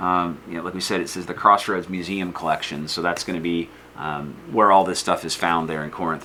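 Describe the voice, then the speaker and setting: A man with a Northern US accent and a very deep, low pitch talks at a fairly quick pace with big swings in loudness. Audible room echo and noticeable background noise fill the recording. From US North. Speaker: history teacher. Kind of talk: lecture. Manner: casual, hesitant with fillers.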